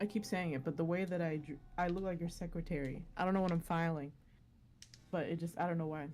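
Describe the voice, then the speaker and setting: A woman with an American accent, fairly low in pitch, at a very fast pace with fairly even intonation and very even loudness, music in the background. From South Texas. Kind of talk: casual chat.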